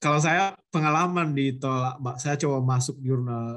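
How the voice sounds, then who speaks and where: A moderate pace with a North Sumatran accent. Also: man. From North Sumatra, Mandailing Natal. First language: Mandailing (speaking Indonesian). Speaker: guest lecturer, researcher. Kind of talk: lecture Q&A. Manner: halting, with fillers and restarts.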